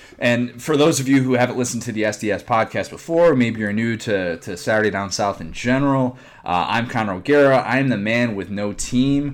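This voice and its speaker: A man speaks at a moderate pace in a medium pitch. His pitch variation is ordinary. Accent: Chicago. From Chicago area. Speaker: sports podcast host. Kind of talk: casual chat. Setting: remote recording.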